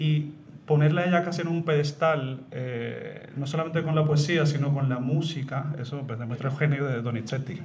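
A man speaks with a fairly high pitch and fairly even intonation. Noticeable background noise and audible room echo surround him. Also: moderate pace. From Madrid, Spain, with Puerto Rican mother. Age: 40s. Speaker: opera tenor. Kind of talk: interview before live audience. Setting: stage with audience.

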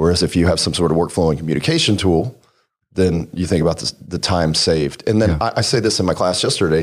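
A man's very deep, low voice in an American accent, very fast, with ordinary pitch variation, on a very clean recording against a silent background. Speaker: auto shop owner.

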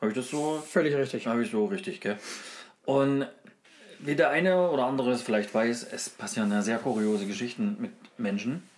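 A man with a medium pitch speaks at a fairly quick pace, his pitch swinging very widely, broken by long, frequent pauses. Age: 30s. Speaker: podcast co-host. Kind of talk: casual chat.

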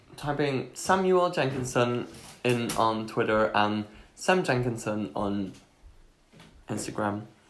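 A man's medium-pitched voice at a very slow pace, with very wide pitch swings and audible room echo. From Belgium. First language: Dutch. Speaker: podcast co-host. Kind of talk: casual chat. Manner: animated.

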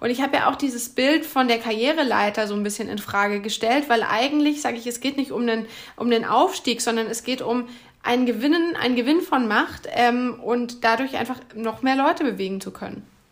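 Her voice is high for a woman, with ordinary pitch variation. She moves at a moderate pace. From Bavaria, Bamberg (Upper Franconia). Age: 30s. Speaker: media manager and author. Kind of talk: podcast interview.

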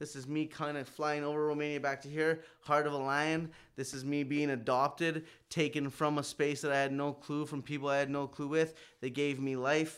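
In a Canadian accent, the speaker talks at a moderate pace with monotone, flat intonation on a very clean recording with a silent background. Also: man, fairly high pitch for a man. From Saskatchewan, Canada. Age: 30s. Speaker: rapper and audio engineer. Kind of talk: casual chat.

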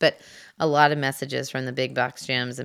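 A woman's very deep, low, monotone voice with vocal fry at a moderate pace, on a very clean recording with a silent background. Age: 40s. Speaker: podcast host and fitness instructor. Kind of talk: solo podcast monologue. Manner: casual, chatty with many fillers.

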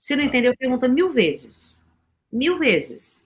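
The voice has a bright, sharp tone and moves through very wide pitch swings. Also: woman. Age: 50s. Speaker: communication and peace speaker. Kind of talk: radio interview.

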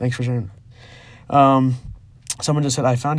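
A somewhat breathy quality runs through the voice. The speaker is a man. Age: 20s. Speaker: podcast host with type one diabetes. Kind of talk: solo podcast monologue. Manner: many filler ums, halting.

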